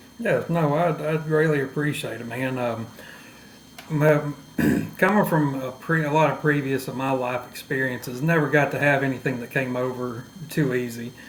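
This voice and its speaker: A man with a fairly high pitch and an East Texas accent at a moderate pace, fairly even intonation, audible room echo, and noticeable background noise. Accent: Southern East Texas. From East Texas, near Louisiana/Arkansas border. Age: 30s. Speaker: podcast guest. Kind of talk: personal testimony in interview.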